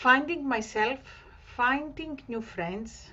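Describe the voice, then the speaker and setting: A woman with a Greek accent, lively intonation, and a very slow pace. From Greece, Thessaloniki. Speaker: community organiser. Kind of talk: online group celebration talk. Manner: halting.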